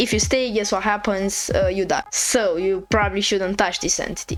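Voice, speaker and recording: With noticeable background noise behind her, a woman with a non-native accent speaks at a moderate pace. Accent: non-native English accent, self-reported. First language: not English. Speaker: game developer youtuber. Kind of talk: devlog explanation. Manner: casual, with filler words.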